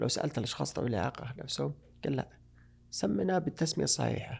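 Vocal fry colors a man's fairly quick delivery. His pitch moves in very wide swings. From Saudi Arabia. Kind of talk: interview.

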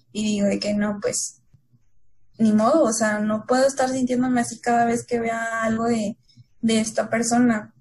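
Fairly high, somewhat breathy speech from a woman, delivered at a fairly slow pace. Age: 20s. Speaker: consultant, contest-winning guest. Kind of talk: casual chat.

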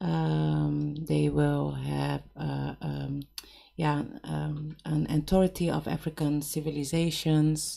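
In a Dutch accent, a woman speaks at a very slow pace. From Cape Verdean heritage, Netherlands. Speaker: cultural organizer and stylist. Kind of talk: casual chat. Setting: radio studio.

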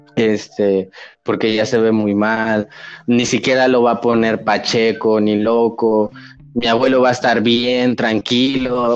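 At a fairly slow pace, a man speaks at a medium pitch with monotone, flat intonation and very even loudness. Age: 20s. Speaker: podcast guest, cannabis user. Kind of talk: casual chat.

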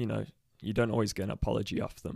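A man speaks with a Midlands accent. His pitch is fairly low, and his intonation is fairly even. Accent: English Midlands, British. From Leicester, English Midlands. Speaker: guest, adoptee sharing personal story. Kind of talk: casual interview. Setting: studio.

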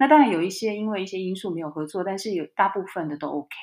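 With an ordinary speaking voice, a woman talks at a medium pitch with lively intonation. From Taiwan. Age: 40s. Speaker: entrepreneur and author. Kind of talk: interview conversation.

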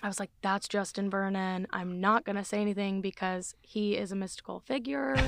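A woman with an American accent and medium pitch speaks at a moderate pace in an unremarkable speaking voice. Her intonation stays fairly even, and the recording is very clean with a silent background. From US South, Gulf Coast Alabama. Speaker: singer-songwriter. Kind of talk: casual interview chat.

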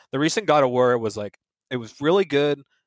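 In a normal speaking voice at a medium pitch, a man talks at a fairly quick pace with ordinary pitch variation. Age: 30s. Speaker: video game industry professional. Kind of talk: casual chat.

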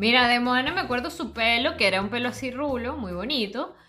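Audible room echo surrounds a woman's voice. She talks at a fairly quick pace with a fairly high pitch. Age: 30s. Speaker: podcast co-host. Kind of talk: casual chat.

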